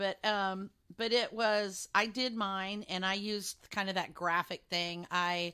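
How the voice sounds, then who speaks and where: In a very clean recording with a silent background, a woman of medium pitch speaks with an American accent in a bright, sharp tone and monotone, flat intonation. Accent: Texas accent, shows sometimes. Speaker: podcast co-host. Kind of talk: casual chat.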